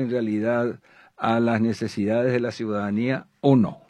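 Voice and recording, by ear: This man talks at a fairly slow pace. His tone is slightly mellow.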